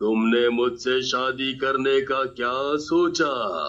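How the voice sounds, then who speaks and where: A man adopts a put-on character voice pitched at a medium level. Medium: read story. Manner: growling, gloating.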